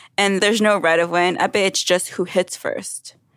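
Here a woman with an American accent talks at a moderate pace and medium pitch in an ordinary speaking voice. The recording is very clean with a silent background, dry and close with no echo. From New York City, Brooklyn. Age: 30s. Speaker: Olympic fencer. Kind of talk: casual chat.

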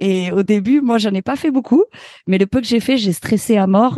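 A woman's dark, mellow voice at a fairly quick pace, dry and close with no echo. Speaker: radio host and sound technician. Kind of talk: interview conversation.

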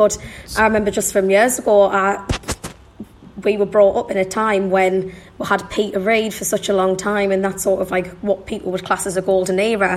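A woman talks at a medium pitch and a moderate pace. Her intonation is monotone and flat, with noticeable background noise behind her. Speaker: football fan podcast guest. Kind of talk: casual chat.

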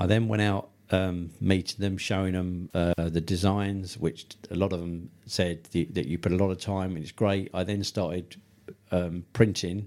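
Speaking with a southern English accent, a man with a very deep, low voice keeps a moderate pace and fairly even intonation. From Tunbridge Wells, Kent, England. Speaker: funeral business owner. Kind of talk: interview. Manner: hesitant, many fillers.

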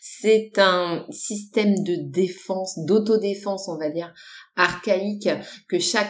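A woman talks at a very slow pace. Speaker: personal development and human design coach. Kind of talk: solo podcast talk. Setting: home recording. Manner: casual with many hesitations.

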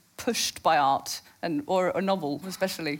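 Speaking at a moderate pace, a woman talks in a Norwegian accent. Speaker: journalist and moderator. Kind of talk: on-stage interview. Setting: stage with audience.

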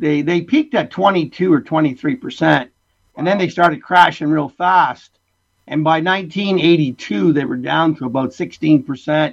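A man with a fairly high pitch and ordinary pitch variation talks in an unremarkable speaking voice. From Essex County, southwestern Ontario, Canada. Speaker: winemaker. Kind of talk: interview. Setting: remote call.

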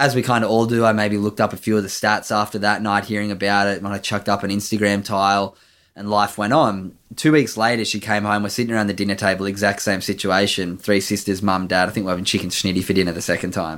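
With an Australian accent, a man talks at a very fast pace with hardly any pauses, fairly low in pitch and fairly even in intonation, on a very clean recording with a silent background. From Australia, Sydney's Northern Beaches. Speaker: former pro surfer, mental health charity founder. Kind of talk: interview, personal story.

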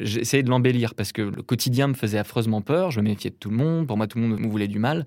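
On a very clean recording with a silent background, a man talks at a very fast pace with hardly any pauses, using a medium pitch and ordinary pitch variation. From Brittany, France. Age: 30s. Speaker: painter. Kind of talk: casual interview conversation.

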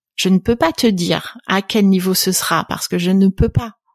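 A woman talks in an ordinary speaking voice, medium in pitch, with fairly even intonation. The sound is dry and close with no echo, on a very clean recording with a silent background. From France, partly raised in Canada. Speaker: venture capital investor. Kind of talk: interview conversation.

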